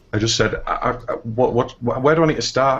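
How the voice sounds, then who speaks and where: A man with an English accent at a very fast pace, with ordinary pitch variation. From northeast England. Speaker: indie game developer. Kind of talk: interview. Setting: live stream.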